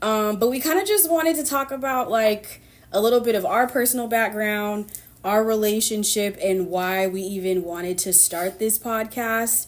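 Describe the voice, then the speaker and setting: A woman with an American accent speaks in a normal speaking voice at a fairly high pitch and moderate pace, with ordinary pitch variation. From Sacramento, California. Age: 30s. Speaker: podcast host. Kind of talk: casual chat.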